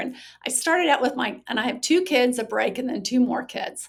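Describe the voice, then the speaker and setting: A woman's high-pitched voice at a moderate pace. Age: 60s. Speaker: social worker and recovery author. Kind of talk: podcast interview.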